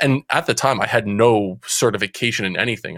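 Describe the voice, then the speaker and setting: On a very clean recording with a silent background and a dry, close sound with no echo, a man at medium pitch speaks with an American accent. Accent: New Jersey accent, comes out now and again. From central New Jersey. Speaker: youth mentoring coach. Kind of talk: interview.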